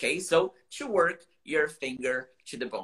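A man with a Brazilian accent speaks in a bright, sharp tone with lively intonation. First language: Portuguese. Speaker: English teacher. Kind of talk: casual livestream chat, bilingual. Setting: live stream video call. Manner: animated, informal.

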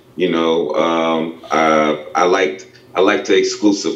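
A man speaks with fairly even intonation over noticeable background noise, and the room echo is audible. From Spartanburg, South Carolina. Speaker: pro boxer and coach. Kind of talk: casual interview. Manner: halting, many repetitions and fillers.

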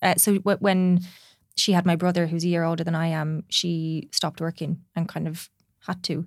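Delivered in an Irish accent, the speech has a moderate pace and monotone, flat intonation. The recording is very clean and the background silent. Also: woman, fairly low pitch for a woman. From Ireland. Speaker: clinical psychologist. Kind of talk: casual chat.

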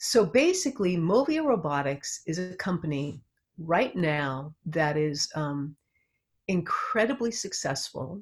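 In an American accent, a woman with a fairly low, somewhat breathy voice speaks at a fairly slow pace with very wide pitch swings. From US West Coast, Los Angeles area. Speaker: psychotherapist. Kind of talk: interview.

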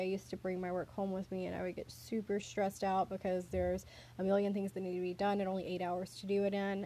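Speaking with a Southern US accent, a woman has a medium pitch and a dark, mellow tone. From US South. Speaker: podcast host. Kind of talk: casual chat.

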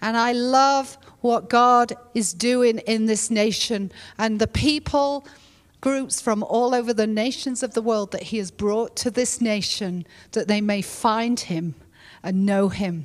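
Speaking with an English accent, a woman has a fairly high pitch. The recording is very clean with a silent background. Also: ordinary pitch variation, fairly slow pace. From England. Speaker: pastor. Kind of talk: sermon. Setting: church.

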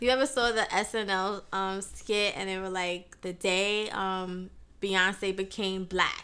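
Her tone bright and sharp, a woman speaks with fairly even intonation. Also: medium pitch for a woman, fairly slow pace. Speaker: juice business co-owner. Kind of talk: casual chat.

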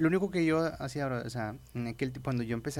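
With an ordinary speaking voice, this man keeps a moderate pace. The rise and fall of his pitch is ordinary. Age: 20s. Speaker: evangelical youth leader. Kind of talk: casual interview testimony.

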